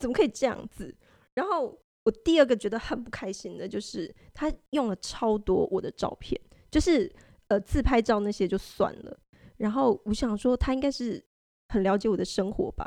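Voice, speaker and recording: A woman with a fairly high pitch and a dark, mellow tone speaks with long, frequent pauses and big swings in loudness. The recording is very clean with a silent background, and the sound is dry and close with no echo. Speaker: website staff editor, co-host. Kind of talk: casual chat. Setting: company studio.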